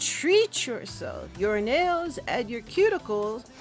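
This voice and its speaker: Very slow speech from a woman, set against music in the background. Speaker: beauty vlogger. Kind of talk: casual talk to camera. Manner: sassy.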